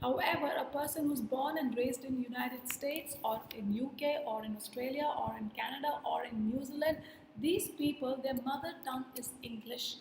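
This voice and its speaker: An Indian accent with audible room echo. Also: woman, high pitch for a woman, ordinary pitch variation, hardly any pauses. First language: Hindi. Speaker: communication skills trainer. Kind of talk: workshop lecture. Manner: deliberate, explanatory with repetitions.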